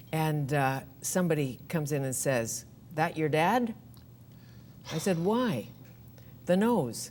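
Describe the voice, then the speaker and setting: A woman with a very deep, low voice speaks at a fairly slow pace, her pitch swinging very widely amid long, frequent pauses. Room echo is audible. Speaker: talk show host. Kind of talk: talk show interview.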